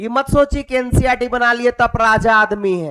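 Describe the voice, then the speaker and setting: With music in the background and a dry, close sound with no echo, a man speaks fairly slowly at an extremely high pitch. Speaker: teacher. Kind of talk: lecture. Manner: animated.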